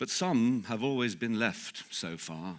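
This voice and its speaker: The pace is fairly slow. This man's pitch shifts in an ordinary way. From England. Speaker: actor. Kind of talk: poetry reading. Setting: live event.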